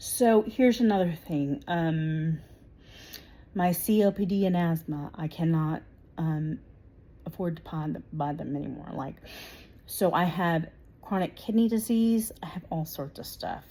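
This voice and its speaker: The tone is dark and mellow and somewhat breathy, with ordinary pitch variation, a fairly slow pace and long, frequent pauses. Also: woman, fairly low pitch for a woman. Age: 40s. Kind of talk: direct-to-camera political monologue. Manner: hesitant, many 'um' fillers.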